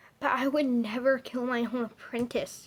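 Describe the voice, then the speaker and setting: A woman puts on a shrill character voice pitched high. She talks at a moderate pace. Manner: screeching, defensive.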